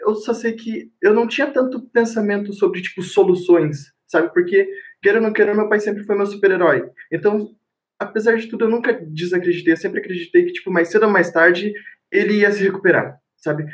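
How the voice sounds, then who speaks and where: A man with a high voice speaks at a fairly quick pace with ordinary pitch variation. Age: 20s. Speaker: poker player. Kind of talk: casual chat.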